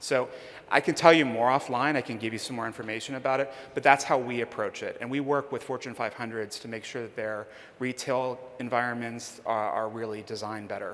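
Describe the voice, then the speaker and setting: In an American accent, a man with a normal speaking voice talks at a fairly quick pace and medium pitch, his intonation fairly even but his loudness swinging widely. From Pittsburgh, US. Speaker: conference speaker on demographics. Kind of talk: conference Q&A. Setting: stage with audience.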